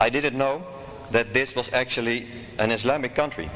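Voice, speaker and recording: A man's voice against noticeable background noise. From Netherlands. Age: 40s. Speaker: convert speaker. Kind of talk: lecture. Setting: stage with audience. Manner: formal.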